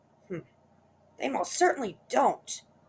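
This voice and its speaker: The put-on character voice is raspy and fairly high in pitch. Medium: read story.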